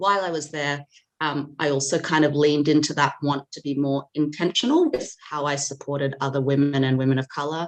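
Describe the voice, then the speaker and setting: Her voice sits very deep and low for a woman, with an Australian accent and a monotone, flat intonation. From Australia, Sydney. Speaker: data governance specialist and founder. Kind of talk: podcast interview.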